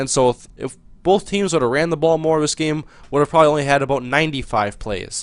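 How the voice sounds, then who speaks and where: This man's pitch sits fairly high. His pitch variation is ordinary. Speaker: gaming video commentator. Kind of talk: gameplay commentary. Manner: fast.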